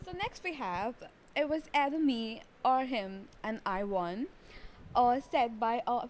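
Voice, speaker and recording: In an Indian accent, a woman speaks with a high pitch. Her intonation is lively. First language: Telugu. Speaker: co-host. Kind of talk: casual chat.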